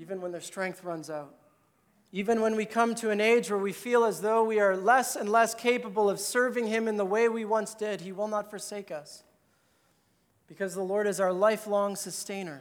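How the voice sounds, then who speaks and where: Audible room echo surrounds a man with a high pitch. He speaks at a moderate pace with fairly even intonation. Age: 30s. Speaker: pastor. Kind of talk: sermon.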